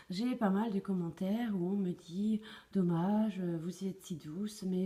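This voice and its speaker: Her voice is medium in pitch, somewhat breathy, with a dark, mellow tone. The woman talks at a very slow pace with fairly even intonation. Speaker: tarot card reader. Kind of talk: tarot reading to camera. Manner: hesitant, many fillers.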